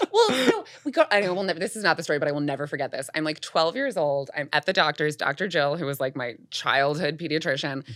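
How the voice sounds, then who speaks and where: A woman with a very deep, low pitch talks in an animated tone at a very fast pace, with hardly any pauses and ordinary pitch variation. Noticeable background noise is present. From US, Boulder, Colorado. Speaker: actor. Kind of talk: storytelling in casual podcast chat. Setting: studio.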